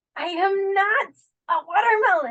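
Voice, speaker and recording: A female-sounding, put-on character voice sits at an extremely high pitch. It comes across as squeaky. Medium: actual play. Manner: short-tempered.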